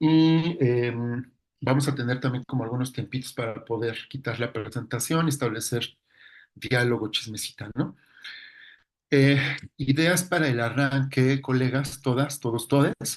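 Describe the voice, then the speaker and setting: In a Mexican accent, a man speaks at a fairly slow pace with fairly even intonation. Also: medium pitch for a man. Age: 40s. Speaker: psychologist lecturer. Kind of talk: lecture.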